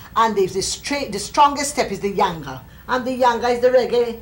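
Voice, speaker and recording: Over light background noise, a woman speaks at a high pitch and a moderate pace with ordinary pitch variation. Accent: Jamaican. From Jamaica. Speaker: folklorist. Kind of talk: interview answer. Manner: bright, sunny. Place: home room.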